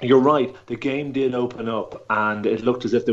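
In an Irish accent, a man talks at a moderate pace with fairly even intonation. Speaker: rugby pundit. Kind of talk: sports analysis discussion.

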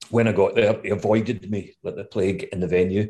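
A somewhat breathy man's voice at a medium pitch in a west of Scotland accent, fairly quick, over a quiet background. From west of Scotland, Gourock. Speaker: music manager. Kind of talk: casual interview chat.

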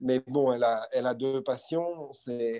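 With a dark, mellow tone, a man speaks at medium pitch using fairly even intonation. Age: 50s. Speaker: business executive. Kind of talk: interview. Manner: halting, many repetitions.

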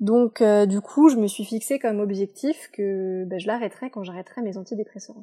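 Speaking at a moderate pace with hardly any pauses, a woman at a medium pitch shows ordinary pitch variation and big swings in loudness in a dry, close sound with no echo. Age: 20s. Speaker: podcast guest sharing personal testimony. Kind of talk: testimony. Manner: hesitant, many fillers.

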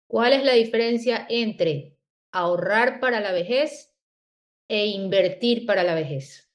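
Her fairly high voice moves with lively intonation as this woman speaks at a very slow pace. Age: 40s. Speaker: podcast host. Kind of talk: interview.

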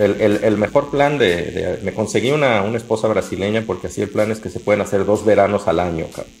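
A man talks at a fairly low pitch with hardly any pauses. Noticeable background noise is present. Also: ordinary pitch variation. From Mexico, Jalisco (Lagos de Moreno). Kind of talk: casual chat.

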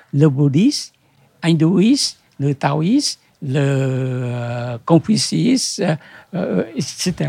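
A man with a Vietnamese accent and a fairly high pitch speaks at a very slow pace with lively intonation. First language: Vietnamese (speaking French). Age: old. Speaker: bookseller. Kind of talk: interview. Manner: halting.

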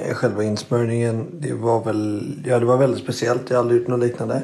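Medium pitch from a male speaker, amid noticeable background noise and audible room echo. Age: 20s. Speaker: entrepreneur, product tester. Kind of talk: recorded testimonial.

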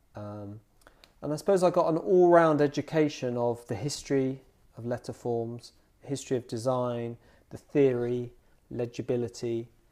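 A man with a southern English accent and a dark, mellow tone, moderate pace, ordinary pitch variation, long, frequent pauses and big swings in loudness. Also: very clean recording, silent background. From southern England (Bedfordshire, Dunstable). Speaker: graphic designer. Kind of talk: interview conversation. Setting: designer's studio. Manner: hesitant, many fillers.

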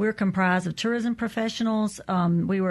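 A woman in a Southern US accent, medium in pitch, fairly quick and fairly even in intonation, against a quiet background. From Natchez, Mississippi / Vidalia, Louisiana. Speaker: tourism association director. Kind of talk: radio interview.

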